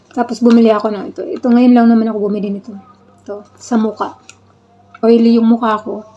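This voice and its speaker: Over noticeable background noise, a woman talks at a very fast pace. Her fairly high voice stays monotone and flat. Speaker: vlogger. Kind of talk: casual vlog. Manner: halting.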